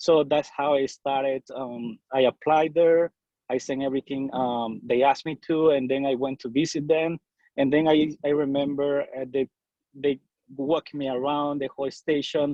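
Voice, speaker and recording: In a Salvadoran accent, a man speaks at a moderate pace with a fairly high pitch and monotone, flat intonation. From El Salvador. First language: Spanish. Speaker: bilingual TV news reporter. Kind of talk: casual interview. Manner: halting.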